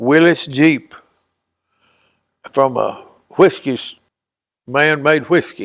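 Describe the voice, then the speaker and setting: Very slowly, a man talks in a Tennessee accent with ordinary pitch variation. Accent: Southern US, Tennessee. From Dover, Tennessee. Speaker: retired diver and construction worker. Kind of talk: interview answer.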